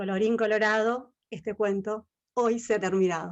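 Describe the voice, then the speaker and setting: A woman's fairly high-pitched voice comes across as shrill. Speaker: ballet history lecturer. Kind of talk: online lecture.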